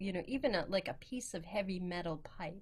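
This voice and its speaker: With audible room echo around her, a woman speaks at a fairly low pitch. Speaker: preacher. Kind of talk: sermon. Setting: video call. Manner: hesitant, many fillers.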